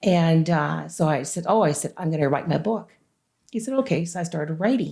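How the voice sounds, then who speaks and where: Lively in intonation and fairly quick, a woman speaks with a fairly low pitch. Her tone is dark and mellow, with vocal fry. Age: 60s. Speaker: author. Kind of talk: interview. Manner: animated.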